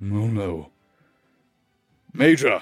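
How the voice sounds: Over faint background music, a man at a medium pitch performs a put-on character voice.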